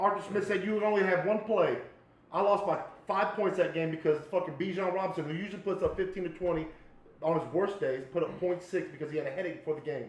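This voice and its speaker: A man talks loudly at a very fast pace, his pitch high for a man with ordinary variation. Noticeable background noise and audible room echo surround his voice. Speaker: podcast host. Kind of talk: casual chat. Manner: animated.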